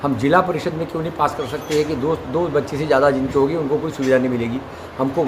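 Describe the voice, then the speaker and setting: A man's fairly high-pitched voice amid audible room echo and noticeable background noise. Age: 70s. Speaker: retired civil servant and activist. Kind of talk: interview. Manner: earnest, exhortative.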